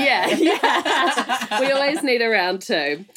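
Very wide pitch swings run through this voice with a New Zealand accent. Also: woman. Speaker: podcast host. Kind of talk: polished presenter. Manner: theatrical, puts on a character for intros.

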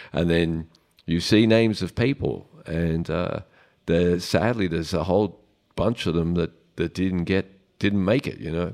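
There is a very deep, low-pitched man with ordinary pitch variation, on a very clean recording with a silent background. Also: fairly slow pace. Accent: Australian. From Melbourne, Australia. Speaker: drummer. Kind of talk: audience Q&A. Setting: live audience at a club. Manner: hesitant, many fillers.

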